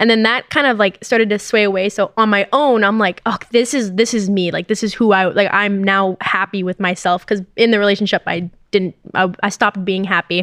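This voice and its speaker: A woman speaks in an ordinary speaking voice at a medium pitch, fairly quickly and with hardly any pauses. Her intonation stays fairly even, and the sound is dry and close with no echo. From Canada. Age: 20s. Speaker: esports gamer. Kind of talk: casual chat.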